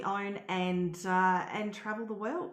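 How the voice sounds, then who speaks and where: Audible room echo surrounds a woman speaking with an Australian accent. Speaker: travel blogger and house sitter. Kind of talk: live webinar presentation. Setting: live stream.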